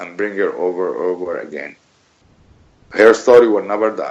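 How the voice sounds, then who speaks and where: This is a man speaking with a non-native accent. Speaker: bereaved father of a journalist. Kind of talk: radio interview. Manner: emphatic. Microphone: bad connection.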